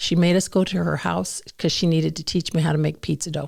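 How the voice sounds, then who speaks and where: This recording is very clean, and the background is silent. A woman is the one talking. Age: 60s. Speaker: ministry staff member sharing testimony. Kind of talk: testimony. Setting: podcast interview.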